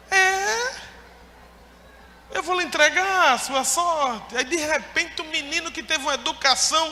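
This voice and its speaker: A man's raised, projected voice at an extremely high pitch, fairly slow, with ordinary pitch variation and long, frequent pauses. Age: 30s. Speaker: pastor. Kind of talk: sermon. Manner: animated.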